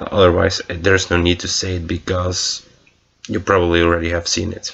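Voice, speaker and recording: The speaker has a non-native accent and a fairly quick pace. Intonation stays monotone and flat. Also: man, very deep, low pitch for a man. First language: not English. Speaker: movie reviewer. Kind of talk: casual film review monologue. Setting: recorded late at night, past midnight. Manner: halting, many fillers and restarts.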